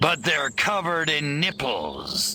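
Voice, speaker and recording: A man speaks in a put-on character voice, pitched fairly high, at a fairly slow pace. Clear music plays in the background. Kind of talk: 1950s B-movie tough guy. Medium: machinima. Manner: wisecracking, brash.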